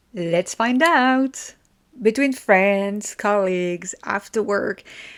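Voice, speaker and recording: A woman speaks very slowly with a French accent. Her pitch sits in the medium range and varies in an ordinary way. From France. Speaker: podcast host. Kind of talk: informative podcast monologue. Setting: at a desk.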